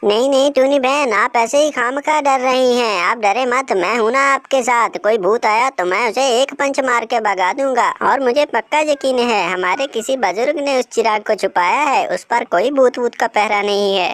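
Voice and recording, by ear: A cartoonish character voice with a fairly high pitch speaks at a moderate pace with hardly any pauses.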